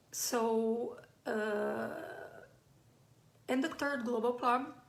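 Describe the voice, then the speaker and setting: A woman with a Brazilian accent speaks at a very slow pace with ordinary pitch variation. The room echo is audible. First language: Brazilian Portuguese. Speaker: playwright. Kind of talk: live online talk. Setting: live stream. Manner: halting, many fillers.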